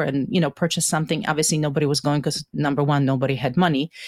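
A woman with a Polish accent and ordinary pitch variation is heard on a very clean recording with a silent background and a dry, close sound with no echo. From Poland (Stalowa Wola area). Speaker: university faculty member. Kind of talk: interview, personal storytelling.

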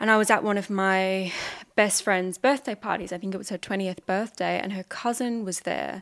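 Over a silent background on a very clean recording, a woman at medium pitch speaks at a moderate pace with ordinary pitch variation in a normal speaking voice. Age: 20s. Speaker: musician. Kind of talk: casual chat.

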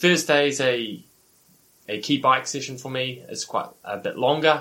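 A man speaks with a New Zealand accent at a moderate pace. His tone is bright and sharp. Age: 40s. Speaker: professional triathlete and coach. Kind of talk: casual interview.

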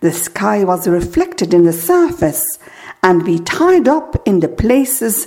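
Speaking very slowly, a woman makes very wide pitch swings. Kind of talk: poem reading aloud, first a French poem, then an English one. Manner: slow, measured, lyrical and contemplative, with pauses between images.

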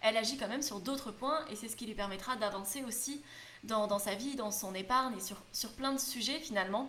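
Amid noticeable background noise and audible room echo, a woman talks at a fairly quick pace with ordinary pitch variation. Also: fairly high pitch for a woman. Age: 20s. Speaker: youtuber and podcaster on frugal living. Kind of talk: solo podcast monologue.

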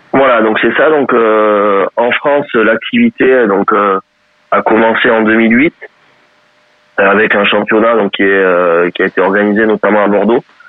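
A man's fairly low-pitched voice at a fairly slow pace, with fairly even intonation and very even loudness. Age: 30s. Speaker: wheelchair rugby coach and sports educator. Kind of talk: interview. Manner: halting, many repeated words.

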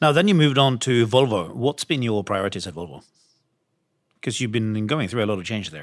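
On a very clean recording with a silent background, a man speaks at a fairly quick pace in a medium pitch with lively intonation, using a plain, everyday voice. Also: big swings in loudness. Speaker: podcast host, investment fund executive. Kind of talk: interview.

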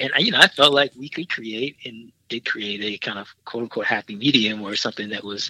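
This man has a normal speaking voice, medium in pitch, with an American accent and ordinary pitch variation. He talks at a fairly quick pace with hardly any pauses and big swings in loudness, in a dry, close sound with no echo. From US Midwest, Milwaukee, Wisconsin. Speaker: filmmaker and film professor. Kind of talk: interview.

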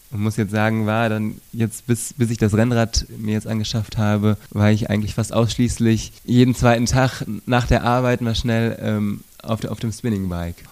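Here a man talks at a moderate pace and a medium pitch. His intonation is monotone and flat. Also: hardly any pauses. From Sauerland, western Germany. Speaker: bicycle police officer. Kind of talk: interview. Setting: on-site recording at police station. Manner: halting, frequent word repetitions.

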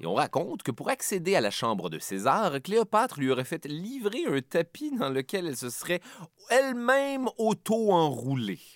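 Speaking in a Quebec accent, a man with a high pitch moves at a moderate pace through very wide pitch swings, in a dry, close sound with no echo on a very clean recording with a silent background. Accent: Québécois French. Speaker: history podcast host. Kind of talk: scripted narration.

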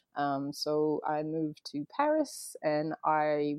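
A woman with a French accent. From France, raised partly near Boston. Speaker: photographer and former lawyer. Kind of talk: casual interview.

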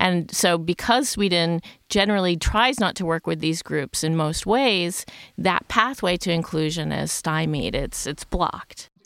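On a very clean recording with a silent background, a woman speaks in an ordinary speaking voice at a fairly low pitch. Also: ordinary pitch variation, fairly slow pace. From United States. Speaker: sociologist. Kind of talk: podcast panel discussion.

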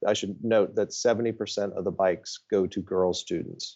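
In an American accent, a man with a fairly low pitch speaks at a moderate pace. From Ohio, US Midwest. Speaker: nonprofit CEO. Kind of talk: interview. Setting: office. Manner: halting, many fillers and repetitions.

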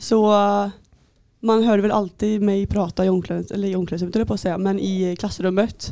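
In a very clean recording with a silent background, a woman with a dark, mellow tone speaks fairly quickly at a medium pitch, her intonation monotone and flat. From Västergötland, Sweden (near Skara). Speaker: handball goalkeeper. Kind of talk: casual interview.

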